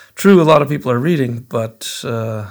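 On a very clean recording with a silent background, a man with an ordinary speaking voice and medium pitch speaks at a fairly slow pace. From Edmonton, Alberta, Canada. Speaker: teacher, writer and musician. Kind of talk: recorded audio dispatch.

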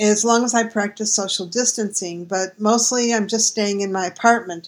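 A woman with an American accent and an unremarkable speaking voice, moderate pace, ordinary pitch variation, on a very clean recording with a silent background. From United States. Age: 60s. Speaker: travel writer and blogger. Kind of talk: recorded audio dispatch.

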